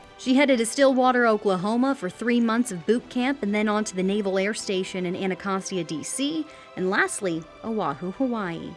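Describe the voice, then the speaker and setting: Over music in the background, a woman with a fairly high pitch speaks at a moderate pace with lively intonation. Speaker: news reporter. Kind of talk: TV news report.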